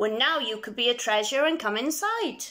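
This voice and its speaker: At a moderate pace, a woman performs a put-on character voice at a high pitch. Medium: read story. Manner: lively, playful.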